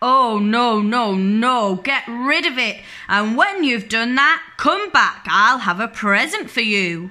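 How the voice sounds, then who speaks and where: With hardly any pauses, a woman in a put-on character voice talks at a fairly slow pace, fairly high in pitch, with lively intonation. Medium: read story.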